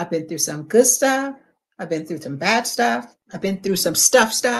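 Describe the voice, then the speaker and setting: A woman at a medium pitch and fairly slow pace, with very wide pitch swings and big swings in loudness. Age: 70s. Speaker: healing speaker. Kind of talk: casual chat.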